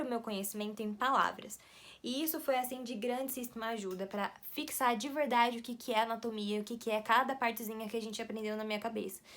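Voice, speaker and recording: A woman talks very fast in a fairly high pitch, with ordinary pitch variation. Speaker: medical student vlogger. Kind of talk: casual vlog talk to camera. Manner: animated.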